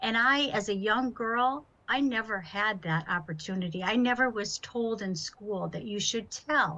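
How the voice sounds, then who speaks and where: With an unremarkable speaking voice, a woman of fairly high pitch uses lively intonation at a fairly slow pace with hardly any pauses. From Massachusetts, US. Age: 60s. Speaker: author and speaker, abuse survivor. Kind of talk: testimony.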